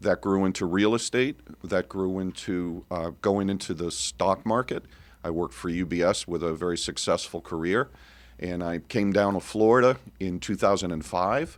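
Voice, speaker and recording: The very clean recording, with its silent background, carries a voice with an American accent. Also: man, very deep, low pitch for a man, ordinary pitch variation, moderate pace. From Connecticut, later Cape Cod, Massachusetts. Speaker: business owner, army veteran. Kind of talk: radio interview.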